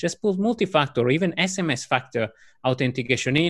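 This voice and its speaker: In an Italian accent, a man with a fairly high pitch talks at a very fast pace, his pitch swinging very widely on a very clean recording with a silent background. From Italy. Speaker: cybersecurity executive. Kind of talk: casual interview.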